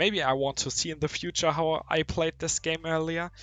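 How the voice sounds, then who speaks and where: With music in the background, a man speaks in a German accent. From Germany. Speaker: mobile game youtuber. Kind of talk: casual gameplay commentary. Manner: halting, many fillers.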